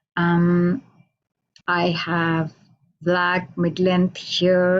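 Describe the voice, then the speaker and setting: Speaking very slowly, a woman with an Indian accent keeps her pitch fairly low. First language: Hindi. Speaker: poet. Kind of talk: introduction before poetry reading. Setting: radio station, online video call.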